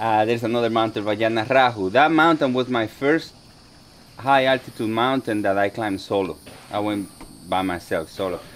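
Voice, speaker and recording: A man with a Dominican accent, fairly low-pitched, at a fairly quick pace, with ordinary pitch variation. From Dominican Republic. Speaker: soldier and mountaineer. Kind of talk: motivational talk. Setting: talk to a group of veterans. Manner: halting, many fillers and repeats.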